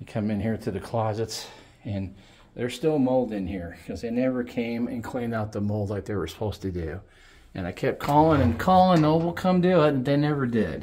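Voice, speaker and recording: Over light background noise, a man with a dark, mellow tone talks at a fairly quick pace, his pitch swinging very widely. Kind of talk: casual vlog chat. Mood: annoyed, sarcastic complaints. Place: home room. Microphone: phone near.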